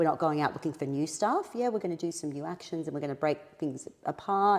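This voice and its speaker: With an Australian accent, the pitch rises and falls in an ordinary way. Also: woman. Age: 40s. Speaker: impostor syndrome coach. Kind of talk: podcast interview.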